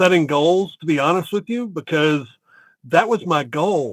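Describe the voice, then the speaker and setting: A man speaks with a Southern US accent in a fairly high pitch, at a moderate pace with ordinary pitch variation. The sound is dry and close, with no echo. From US South, Chattanooga, Tennessee. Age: 50s. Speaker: real estate entrepreneur. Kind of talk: interview.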